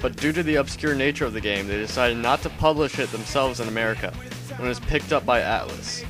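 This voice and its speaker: Over music in the background, a man with a medium-pitched voice speaks very fast with lively intonation. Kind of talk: video game review narration.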